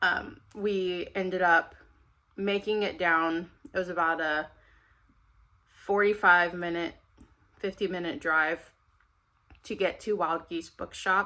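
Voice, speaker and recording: With a bright, sharp tone, a woman speaks at a very slow pace and medium pitch, with fairly even intonation and long, frequent pauses. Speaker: book vlogger. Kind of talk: casual vlog talk to camera. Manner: chatty with fillers.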